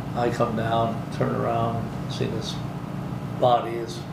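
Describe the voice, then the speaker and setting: Loud background noise sits behind a man speaking with an American accent. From Michigan. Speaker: air force veteran. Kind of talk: oral history interview. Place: meeting room.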